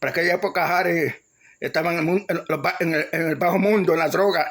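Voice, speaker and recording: Using a Puerto Rican accent, a man with a high pitch speaks at a fairly quick pace with fairly even intonation. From Puerto Rico, Ponce. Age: 60s. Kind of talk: testimony. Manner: halting, many repetitions and restarts.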